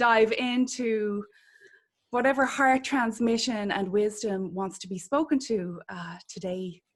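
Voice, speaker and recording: With an Irish accent, a woman with a fairly high, somewhat breathy voice talks at a fairly slow pace, her pitch varying in an ordinary way while her loudness swings widely. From Ireland. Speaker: podcast host, spiritual healer. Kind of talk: interview conversation.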